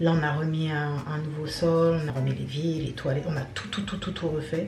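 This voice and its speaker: A woman's fairly low voice with fairly even intonation, audible room echo and noticeable background noise. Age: young. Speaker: vlogger. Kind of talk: casual vlog.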